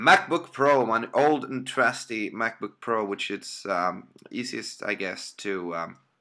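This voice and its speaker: At a fairly slow pace, a man with a Swedish accent speaks at medium pitch in a bright, sharp tone. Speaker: amateur game caster. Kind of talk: live game commentary. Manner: hesitant, many fillers. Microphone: poor laptop audio.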